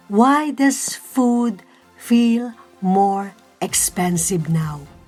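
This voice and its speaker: A woman with a fairly high pitch speaks in a calm, gentle tone with lively intonation. Music plays in the background. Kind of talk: reflective vlog voiceover.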